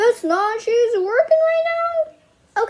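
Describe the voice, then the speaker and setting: Squeaky, extremely high-pitched put-on character voice from a woman, its pitch swinging very widely. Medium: read story. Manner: folksy, calls girls missy.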